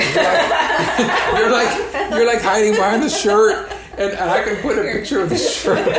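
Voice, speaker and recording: There is noticeable background noise as a man talks at a moderate pace. He leaves hardly any pauses. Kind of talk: podcast host interview questions.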